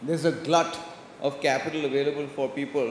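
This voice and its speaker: Over noticeable background noise and audible room echo, a man with an Indian accent speaks in a monotone, flat way at a fairly high pitch. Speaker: venture capital investor. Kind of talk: conference presentation. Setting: stage with audience. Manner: fast.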